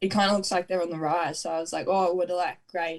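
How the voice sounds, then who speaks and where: A woman speaks at medium pitch with an Australian accent. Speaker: netball player. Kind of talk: interview. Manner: laid back.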